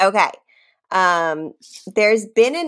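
With lively intonation, a woman speaks in an American accent. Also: very clean recording, silent background. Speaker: podcast co-host. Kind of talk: casual chat. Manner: laughs a lot, loud laugh.

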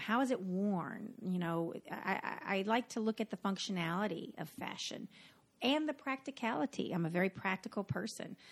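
A woman with a Southern US accent speaks at a moderate pace and medium pitch with lively intonation. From North Carolina. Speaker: podcast host, costume designer. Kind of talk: casual chat, podcast intro.

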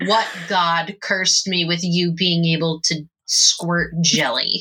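A female-sounding put-on character voice comes through gruff at a middle pitch. The pace is fairly slow. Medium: actual play. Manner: irritated, sarcastic.

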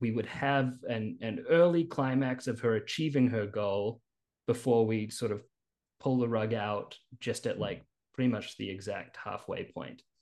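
Here a man with a New Zealand accent speaks at a medium pitch. The background is quiet. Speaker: screenwriter. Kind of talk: interview. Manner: halting.

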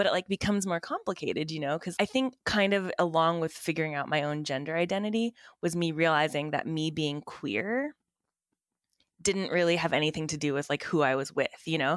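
A normal speaking voice with an American accent moves at a fairly quick pace with ordinary pitch variation, in a very clean recording with a silent background. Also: woman, fairly low pitch for a woman. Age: 30s. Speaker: ecologist and stay-at-home parent. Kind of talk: casual chat.

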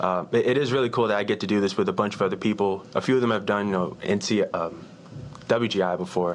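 A man with a normal speaking voice and an American accent, fairly low in pitch with ordinary pitch variation, at a fairly quick pace and very even loudness. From Virginia, US. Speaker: marching percussion drummer and college student. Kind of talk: casual interview.

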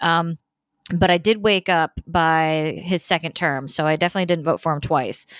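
A woman with an ordinary speaking voice talks in an American accent at a fairly low pitch and moderate pace, her intonation fairly even and her loudness very even, in a dry, close sound with no echo on a very clean recording with a silent background. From Indiana, US Midwest. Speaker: political podcast host. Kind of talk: solo podcast monologue. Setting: hotel room.

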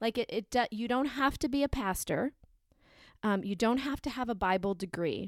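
With an unremarkable speaking voice, a woman at a fairly high pitch talks at a moderate pace with ordinary pitch variation, the sound dry and close with no echo on a very clean recording with a silent background. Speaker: podcast co-host and parent. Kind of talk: casual conversational podcast chat.

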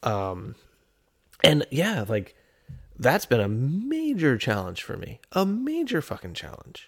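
A fairly high-pitched man at a very slow pace, with very wide pitch swings, big swings in loudness and long, frequent pauses. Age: 30s. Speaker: podcast co-host. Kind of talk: casual chat.

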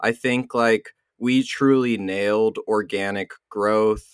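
This man has an unremarkable speaking voice with a medium pitch and fairly even intonation. The sound is dry and close with no echo. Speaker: podcast co-host. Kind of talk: casual chat.

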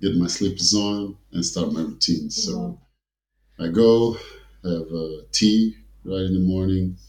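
A man with an African accent speaks at a fairly slow pace. His pitch is very deep and low. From Portugal. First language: Portuguese. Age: 40s. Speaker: former professional basketball player. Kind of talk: interview. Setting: studio.

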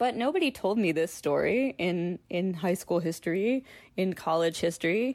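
An unremarkable speaking voice: a woman at medium pitch, moderate pace and lively intonation, on a very clean recording with a silent background. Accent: American. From Philadelphia suburbs, US. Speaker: children's author and illustrator. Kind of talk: casual interview conversation.

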